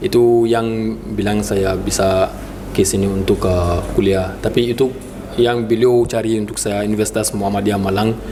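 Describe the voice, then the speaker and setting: The speech comes in a non-native accent with monotone, flat intonation. Room echo is audible, and background noise is noticeable. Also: man, fairly low pitch for a man, moderate pace. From Mali. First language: not Indonesian (speaking Indonesian). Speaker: university student. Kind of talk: interview. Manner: halting.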